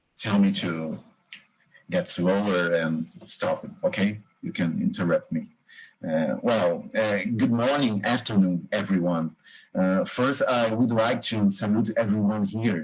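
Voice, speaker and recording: A man with a Brazilian accent speaks at a fairly slow pace, his intonation lively. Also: fairly low pitch for a man. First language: Portuguese. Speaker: history professor. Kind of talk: lecture. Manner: halting.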